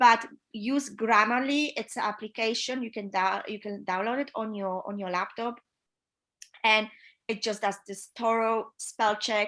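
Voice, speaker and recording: A woman's bright, sharp tone at a fairly high pitch, with a Polish accent, fairly even intonation, a fairly slow pace and big swings in loudness on a very clean recording with a silent background. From Poland. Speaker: yacht chief stewardess. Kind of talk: interview advice. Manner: hesitant with fillers.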